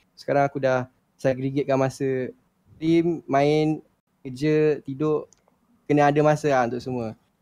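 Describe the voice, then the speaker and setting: A man's dark, mellow voice at medium pitch, monotone and flat in intonation, at a moderate pace. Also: dry, close sound with no echo. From Shah Alam, Selangor, Malaysia. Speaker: gamer. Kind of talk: casual chat.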